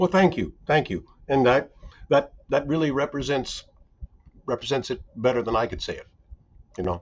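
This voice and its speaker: With vocal fry and lively intonation, a man talks at a moderate pace and a fairly high pitch, leaving long, frequent pauses. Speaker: recruiter in professional services. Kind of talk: podcast interview.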